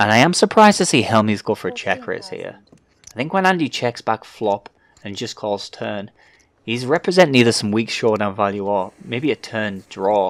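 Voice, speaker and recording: This man has a plain, everyday voice at a medium pitch. He speaks at a moderate pace with lively intonation. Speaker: poker commentator / pundit. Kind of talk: poker commentary audition.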